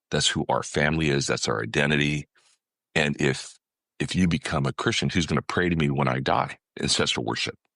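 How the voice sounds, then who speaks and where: A man with an American accent speaks at a fairly quick pace in a very deep, low pitch with vocal fry and a bright, sharp tone, his loudness very even and his pitch varying normally, in a dry, close sound with no echo. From California, US. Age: 60s. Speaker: ministry leader and consultant. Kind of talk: testimony. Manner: frequent fillers and restarts.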